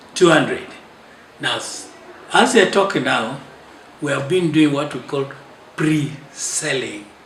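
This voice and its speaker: Over noticeable background noise and audible room echo, a man with a fairly high voice speaks very slowly. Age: 70s. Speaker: clergyman and author. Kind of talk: interview. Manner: halting.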